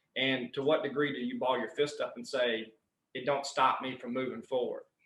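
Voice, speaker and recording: Ordinary pitch variation from a man, at a moderate pace. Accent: Southern US. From Southern US. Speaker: strength and conditioning coach. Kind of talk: podcast interview answer. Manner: passionate.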